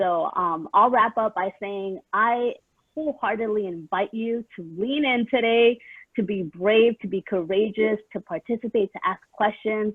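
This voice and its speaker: This woman talks with a Spanish accent at a fairly slow pace. Her pitch sits fairly high and rises and falls in an ordinary way. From San Diego, California. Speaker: equity and inclusion consultant, panelist. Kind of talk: conference panel self-introduction.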